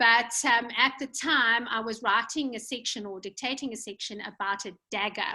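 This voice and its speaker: A woman with a fairly high pitch and fairly even intonation talks at a moderate pace with hardly any pauses, her loudness swinging widely. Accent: South African. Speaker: podcast host and author. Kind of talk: interview. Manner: hesitant, many fillers.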